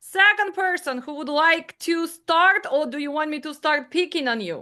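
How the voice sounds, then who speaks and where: Raised and projected, a woman's high-pitched voice has a bright, sharp tone, ordinary pitch variation and big swings in loudness. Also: moderate pace, quiet background. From Ukraine. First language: not English. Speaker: dispatch trainer. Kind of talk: online class.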